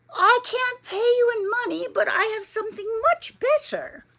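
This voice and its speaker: A woman does a squeaky put-on character voice at an extremely high pitch. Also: moderate pace. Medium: read story. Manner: hushed, whispering.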